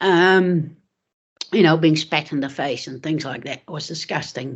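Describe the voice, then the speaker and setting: The speaker has a New Zealand accent and talks at a fairly slow pace. The intonation stays fairly even. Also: woman. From Netherlands, raised in New Zealand. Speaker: former footballer. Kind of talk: casual chat.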